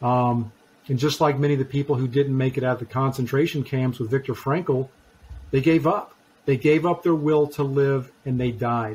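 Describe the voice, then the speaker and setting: A man's somewhat breathy voice sits at a medium pitch with fairly even intonation. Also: moderate pace. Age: 50s. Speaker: author, speaker and trainer; COVID and cancer survivor. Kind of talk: interview, personal testimony. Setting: podcast interview.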